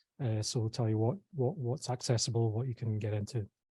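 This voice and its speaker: Soft-spoken and somewhat breathy, a man talks with a dark, mellow tone. The sound is dry and close with no echo, and the background is quiet. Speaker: tech startup program CEO. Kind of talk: presentation. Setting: live event room with online audience. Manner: hesitant, many fillers.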